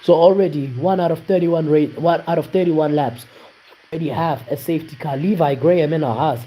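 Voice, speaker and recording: Noticeable background noise runs under the recording. The man speaks with ordinary pitch variation. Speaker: sim racing league commentator. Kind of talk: live commentary. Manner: animated.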